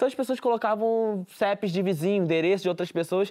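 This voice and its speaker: In a very clean recording with a silent background, a man talks at a fairly quick pace. His voice is high, with lively intonation. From Rio de Janeiro favela. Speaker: community journalist. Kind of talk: interview.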